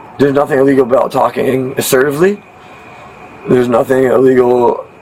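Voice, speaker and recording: A man with a New York accent talks very fast at medium pitch with fairly even intonation. Noticeable background noise is present. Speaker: man questioned by police. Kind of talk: heated argument. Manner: loud; fast, talking over others.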